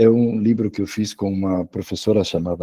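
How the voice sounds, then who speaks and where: A man with a strong Spanish accent speaks at a fairly slow pace and medium pitch, his tone dark and mellow, in a dry, close sound with no echo. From Spain. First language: Spanish (speaking Portuguese). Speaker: education professor and author. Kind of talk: online lecture. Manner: halting, frequent repetitions.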